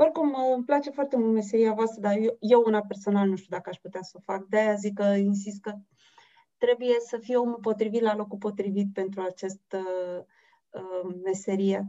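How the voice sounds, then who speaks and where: A woman speaks at a medium pitch in a dark, mellow tone, her intonation fairly even but her loudness swinging widely. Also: moderate pace. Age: 40s. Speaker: interviewer. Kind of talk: interview.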